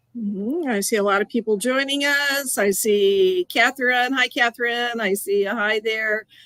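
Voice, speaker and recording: Bright and sharp in tone, a woman with a slight Canadian accent speaks at a fairly high pitch and a moderate pace with hardly any pauses, in a dry, close sound with no echo. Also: ordinary pitch variation. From US and Canada. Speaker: quilting educator. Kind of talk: live stream demo chat. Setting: live video stream.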